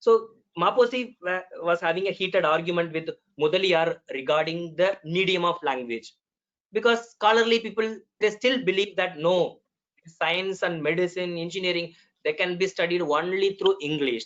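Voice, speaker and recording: The speaker talks at a moderate pace with a Tamil accent. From Tamil Nadu, India. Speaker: medical doctor, panelist. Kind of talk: web conference talk. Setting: video call. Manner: hesitant, with fillers.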